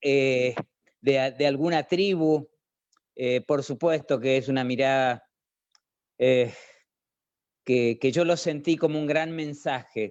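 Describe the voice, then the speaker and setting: The man's pitch sits fairly high and his intonation is fairly even. He talks at a very slow pace with long, frequent pauses. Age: 70s. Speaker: sculptor. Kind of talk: personal testimony. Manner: halting.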